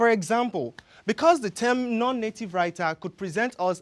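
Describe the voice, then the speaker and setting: Someone with a Yoruba accent speaks at a moderate pace on a very clean recording with a silent background. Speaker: graduate student. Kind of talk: competition research talk.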